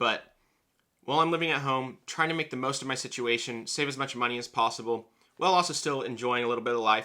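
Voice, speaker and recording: Recorded very cleanly against a silent background, a man with an American accent speaks at a very fast pace and medium pitch, with a bright, sharp tone and ordinary pitch variation. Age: 20s. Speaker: personal finance YouTuber. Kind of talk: casual vlog monologue.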